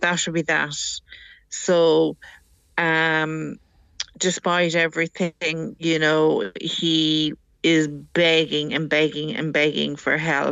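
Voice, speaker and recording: With an Irish accent, a woman speaks at a very slow pace in a very deep, low pitch, her intonation fairly even. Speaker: caller, mother of addicted son. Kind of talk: radio phone-in call. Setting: phone call over WhatsApp.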